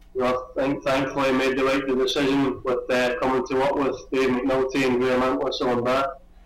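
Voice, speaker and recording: A man's medium-pitched, monotone, flat delivery at a fairly quick pace, with hardly any pauses, very even loudness and noticeable background noise. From Scotland, Glasgow. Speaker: Olympic swimmer. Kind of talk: interview. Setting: video call. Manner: hesitant, many fillers.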